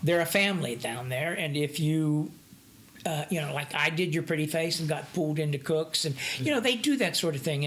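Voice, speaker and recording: Over noticeable background noise, a woman talks at a fairly quick pace. Her pitch is very deep and low, and her intonation is lively. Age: 60s. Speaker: actor. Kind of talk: interview. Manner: halting.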